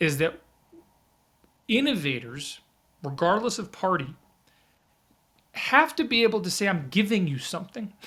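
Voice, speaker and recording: A man's raised, projected voice with an American accent, high-pitched, bright and sharp, with very wide pitch swings, a moderate pace and long, frequent pauses, in a very clean recording with a silent background. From New York. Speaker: startup and innovation consultant. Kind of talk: podcast interview. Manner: halting, with frequent repetitions.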